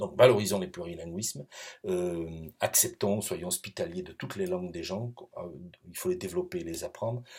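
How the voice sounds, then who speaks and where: Speaking at a moderate pace, a man leaves long, frequent pauses, and his loudness swings widely. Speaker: professor. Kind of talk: recorded lecture. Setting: pre-recorded video. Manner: hesitant, many fillers.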